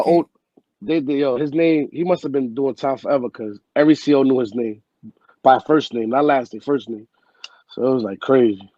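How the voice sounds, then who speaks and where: In a New York accent, a man talks at a fairly quick pace with a medium pitch and ordinary pitch variation. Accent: New York City. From Bronx, New York City. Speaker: former inmate. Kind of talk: interview answer, storytelling.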